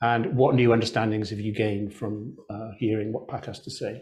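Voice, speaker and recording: A man's fairly quick delivery in a monotone, flat intonation. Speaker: interviewer. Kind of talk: interview. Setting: video call. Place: home room. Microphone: lapel.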